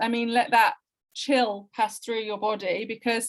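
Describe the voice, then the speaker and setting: A woman's voice with a West Midlands accent. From English Midlands, Wolverhampton. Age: 40s. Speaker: Romani heritage crafts researcher. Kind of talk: interview conversation. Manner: emotional, impassioned.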